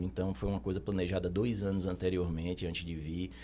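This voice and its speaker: The voice has a dark, mellow tone in a Recife accent. Its intonation stays fairly even. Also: man. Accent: Northeastern Brazilian (Recife). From Brazil, Recife (Northeast). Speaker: accountant. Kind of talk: podcast interview.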